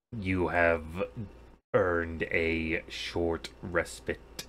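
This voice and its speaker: Using a put-on character voice, a man speaks very slowly with a very deep, low pitch. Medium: actual play. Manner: clipped, formal, stern.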